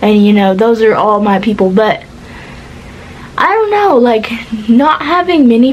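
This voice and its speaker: Noticeable background noise beneath a woman speaking at a fairly high pitch. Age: 20s. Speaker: vlogger. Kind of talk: casual chat. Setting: in bed.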